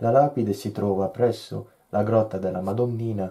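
A man talks at a fairly slow pace with fairly even intonation. His tone is dark and mellow. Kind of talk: poetry reading.

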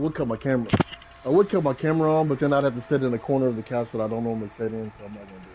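Amid noticeable background noise, a man talks at a very fast pace with ordinary pitch variation and big swings in loudness. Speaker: fellow gamer joining the stream. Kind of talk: casual chat during online gameplay. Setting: online voice chat. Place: home room.

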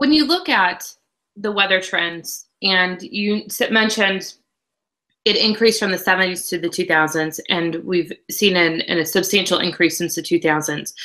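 With a Midwestern American accent, a woman speaks at a fairly slow pace in a bright, sharp tone against a quiet background. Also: ordinary pitch variation. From Illinois, US Midwest. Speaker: agricultural news reporter. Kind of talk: interview. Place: home room.

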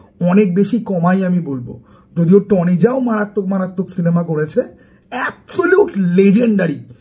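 A man speaks in a high pitch with a dark, mellow tone. His pitch variation is ordinary. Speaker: YouTuber film reviewer. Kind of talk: casual film review vlog. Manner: animated.

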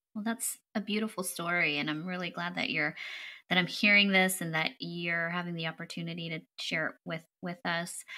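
A woman with a fairly low voice speaks in a warm, enthusiastic tone at a moderate pace. The recording is very clean, with a silent background. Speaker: podcast host. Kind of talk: interview.

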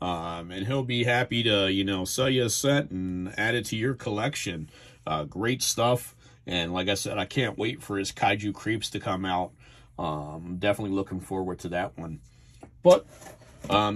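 With an American accent, a man talks at a fairly low pitch. He has a moderate pace and lively intonation. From New Jersey. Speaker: YouTuber reviewing trading cards. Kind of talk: casual video review. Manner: hesitant, many fillers. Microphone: phone near.

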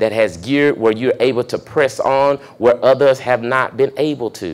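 At a moderate pace, a man talks in an animated tone with ordinary pitch variation. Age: 30s. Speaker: pastor. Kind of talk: motivational talk. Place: meeting room. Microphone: handheld.

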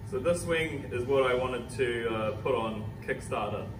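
Music plays in the background as a man talks with fairly even intonation. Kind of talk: tutorial. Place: workshop.

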